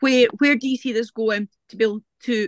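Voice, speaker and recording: With a Scottish accent, a woman speaks at a moderate pace and with ordinary pitch variation, the sound dry and close with no echo. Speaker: guide dog user, audience member. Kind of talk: audience question. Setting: video call webinar.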